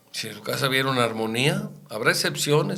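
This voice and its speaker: Amid noticeable background noise and audible room echo, a man speaks at medium pitch and a moderate pace with ordinary pitch variation. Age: 70s. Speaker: radio host. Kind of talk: radio talk show discussion.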